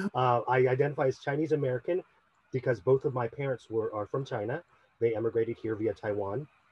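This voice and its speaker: Speaking at a very fast pace, a man with a medium-pitched, somewhat breathy voice shows ordinary pitch variation. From US Midwest, Cleveland Heights, Ohio. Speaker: actor. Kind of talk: panel discussion.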